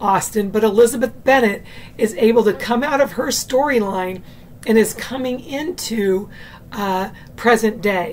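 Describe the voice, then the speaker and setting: Noticeable background noise sits behind a woman's fairly high voice. She speaks at a fairly slow pace with lively intonation. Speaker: booktube video creator. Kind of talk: casual video review. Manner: casual, with many fillers.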